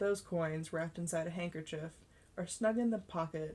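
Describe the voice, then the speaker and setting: At a fairly quick pace, a woman talks in a plain, everyday voice with a fairly low pitch. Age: 20s. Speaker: amateur audiobook narrator. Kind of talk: reading aloud. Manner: occasional stumbles and self-corrections.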